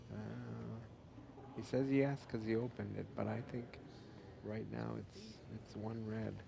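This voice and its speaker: Noticeable background noise and audible room echo surround the speech. A man talks at a fairly slow pace, with long, frequent pauses. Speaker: sports commentator. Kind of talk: live commentary. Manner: quiet.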